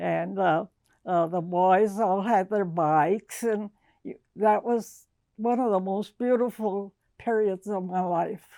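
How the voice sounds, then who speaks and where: Someone with an American accent speaks at a very slow pace in a dark, mellow tone. The recording is very clean, with a silent background. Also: woman, medium pitch for a woman, fairly even intonation. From Texas, San Antonio. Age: 80s+. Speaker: interviewee telling life story. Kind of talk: oral history interview. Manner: halting.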